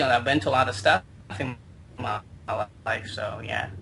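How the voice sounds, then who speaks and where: This speaker is a man. He talks with a Chinese accent. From China. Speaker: internet marketer. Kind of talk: interview. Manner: halting.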